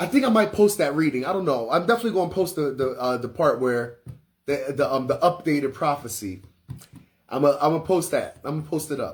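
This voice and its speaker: Loud and at a moderate pace, a man speaks with very wide pitch swings. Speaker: spiritual teacher and livestreamer. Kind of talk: casual livestream chat. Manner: naturally loud; casual, filler-heavy.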